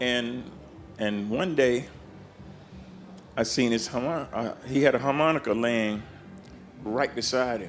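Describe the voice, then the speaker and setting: With music in the background and audible room echo, a man with an American accent speaks at a fairly slow pace in a medium pitch, with ordinary pitch variation and long, frequent pauses. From US South (Georgia and Florida). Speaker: blues harmonica player. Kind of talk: interview storytelling. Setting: backstage at a festival. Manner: animated.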